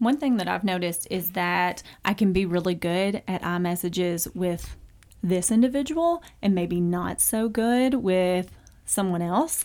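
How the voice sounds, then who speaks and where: The speech moves at a fairly slow pace with ordinary pitch variation. The recording is very clean, and the background is silent. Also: woman, medium pitch for a woman. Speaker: podcast host, extension agent. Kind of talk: casual chat. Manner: matter-of-fact.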